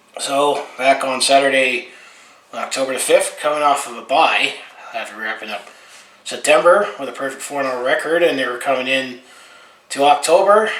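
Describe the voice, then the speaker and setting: A man with a fairly high voice speaks at a moderate pace, with ordinary pitch variation and big swings in loudness, amid noticeable background noise and audible room echo. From Alberta, western Canada. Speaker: sports fan vlogger. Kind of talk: casual game recap monologue. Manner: casual, with frequent fillers.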